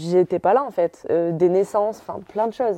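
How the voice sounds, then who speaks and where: At a moderate pace and medium pitch, a woman speaks with ordinary pitch variation and a dark, mellow tone in a dry, close sound with no echo. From northern France, Calais. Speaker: professional footballer. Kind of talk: interview.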